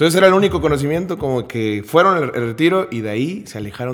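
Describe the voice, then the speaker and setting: Talking at a fairly quick pace, a man uses a normal speaking voice with lively intonation. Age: 20s. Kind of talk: faith testimony in casual interview.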